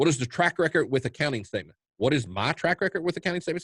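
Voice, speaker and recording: A man with a Kentucky accent and vocal fry, in a dry, close sound with no echo. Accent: Kentucky Southern US. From US South, eastern Kentucky. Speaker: trading educator. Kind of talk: webinar Q&A. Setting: online webinar. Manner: fast; halting, many fillers and repeats.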